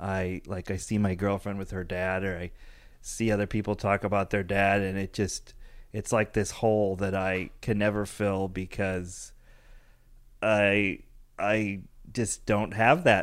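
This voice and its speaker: A man with an American accent speaks in a flat monotone at a fairly low pitch and a fairly slow pace. The recording is very clean, with a silent background. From Chicago suburbs, US Midwest. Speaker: comedian. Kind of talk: casual chat.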